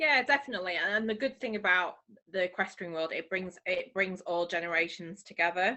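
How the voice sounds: A woman talks at a fairly quick pace with fairly low pitch. Her tone is bright and sharp, with ordinary pitch variation.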